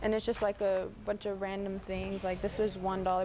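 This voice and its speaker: With music in the background, a woman talks at a very fast pace in a medium pitch. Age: 20s. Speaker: thrift shop worker. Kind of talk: interview / shop tour.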